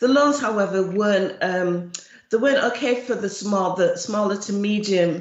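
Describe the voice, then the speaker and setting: Audible room echo around a woman's medium pitch, moderate in speed, with ordinary pitch movement. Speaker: charity chief executive. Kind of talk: presentation at an online event.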